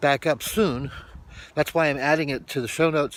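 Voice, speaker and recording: A man speaks at a fairly high pitch. His pace is fairly slow, with ordinary pitch variation. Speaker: vlogger. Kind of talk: casual vlog talk.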